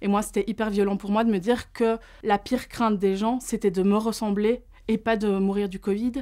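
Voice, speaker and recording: Against a quiet background, a woman speaks at a moderate pace and a fairly high pitch, her dark, mellow tone held in a monotone, flat intonation. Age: 30s. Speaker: psychologist and fat activist; interviewee. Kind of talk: testimony. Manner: casual, with frequent hesitations. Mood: earnest, reflective. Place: studio.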